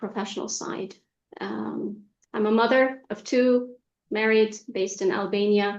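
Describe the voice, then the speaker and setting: A speaker with an American accent talks at a fairly slow pace. The intonation is monotone and flat. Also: woman. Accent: American-educated. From Egypt, raised partly in Saudi Arabia. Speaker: executive coach. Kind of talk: interview.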